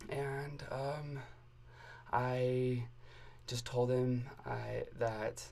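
A man's medium-pitched voice in an American accent, monotone and flat, with audible room echo. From Arizona. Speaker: university student. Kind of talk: personal testimony in interview. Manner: halting, many fillers.

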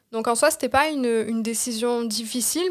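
On a very clean recording with a silent background, a woman speaks in a Marseille accent at a fairly high pitch with ordinary pitch variation. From Marseille, southern France. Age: 20s. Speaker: social media consultant, entrepreneur. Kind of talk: interview.

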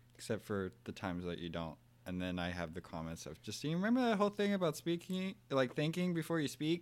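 A man talks at a fairly high pitch and a fairly quick pace with very wide pitch swings. The recording is very clean, with a silent background. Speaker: bonus guest. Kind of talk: casual chat. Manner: calm.

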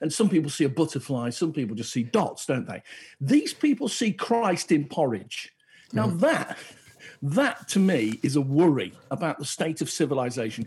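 The voice is somewhat breathy and moves through very wide pitch swings. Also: man, fairly high pitch for a man, moderate pace. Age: 50s. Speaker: podcast co-host. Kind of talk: casual chat.

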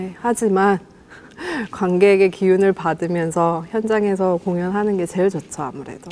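At a moderate pace, a woman talks in a normal speaking voice with fairly even intonation. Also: medium pitch for a woman. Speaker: musician. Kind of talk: casual chat.

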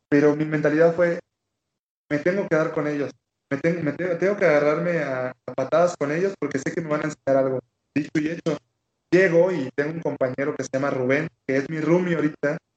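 Fairly quick pace with fairly even intonation. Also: man, fairly high pitch for a man. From Mexican Caribbean (Quintana Roo). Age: 20s. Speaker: Olympic taekwondo athlete. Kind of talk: interview. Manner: repetitive, halting restarts.

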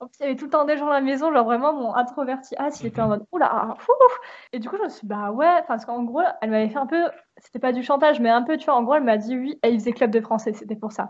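A woman speaks at a very fast pace in a high voice with ordinary pitch variation and big swings in loudness. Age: 20s. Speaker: podcast host, aspiring illustrator. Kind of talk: casual chat.

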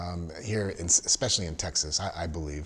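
A somewhat breathy male voice moves at a moderate pace, its pitch varying in an ordinary way. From Southern California. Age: 50s. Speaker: podcast host, registered nurse. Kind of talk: casual interview.

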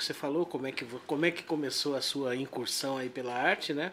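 Fairly even male intonation over noticeable background noise. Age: 40s. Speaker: podcast host. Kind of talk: casual chat.

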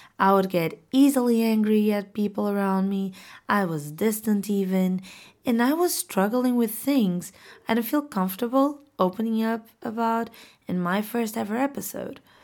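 Woman with a Portuguese accent, fairly high pitch, ordinary pitch variation and moderate pace, on a very clean recording with a silent background. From Portugal. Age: 20s. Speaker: podcast host. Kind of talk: casual monologue; motivational pep talk. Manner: animated.

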